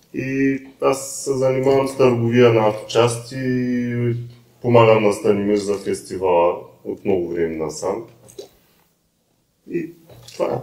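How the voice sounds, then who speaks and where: A man with a Ruse accent, medium pitch and ordinary pitch variation, at a fairly slow pace with long, frequent pauses. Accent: picked up Ruse. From Bulgaria, Isperih. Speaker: auto parts trader. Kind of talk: casual podcast chat.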